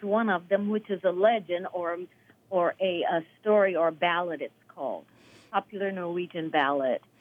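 A woman speaks in an unremarkable speaking voice, her medium pitch carried at a moderate pace. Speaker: choir conductor, retired music teacher. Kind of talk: radio interview. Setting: phone call. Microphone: telephone line.

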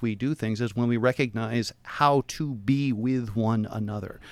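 A man with an American accent speaks at a medium pitch with ordinary pitch variation in an unremarkable speaking voice, the sound dry and close with no echo. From Portland, Oregon. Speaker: philosophy professor. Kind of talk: radio interview. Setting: radio studio.

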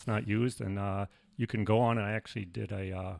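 A man with an unremarkable speaking voice and an American accent talks at a fairly quick pace and fairly low pitch, dry and close with no echo, on a very clean recording with a silent background. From New York City, the Bronx. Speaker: retired preservation program founder. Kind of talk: casual interview.

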